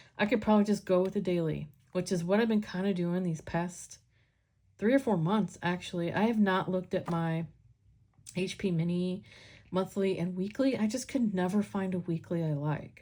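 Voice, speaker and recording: Somewhat breathy and medium in pitch, a woman's voice moves at a moderate pace with ordinary pitch variation. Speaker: planner content creator. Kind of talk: casual flip-through vlog. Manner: casual, rambling with fillers.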